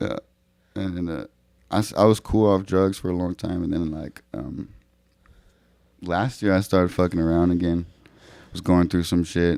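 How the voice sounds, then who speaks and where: A man with an American accent speaks in a very deep, low voice with a dark, mellow tone and fairly even intonation. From California Central Valley (Merced). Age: 20s. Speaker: rapper and clothing designer. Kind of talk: podcast interview, personal story. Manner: halting, many fillers.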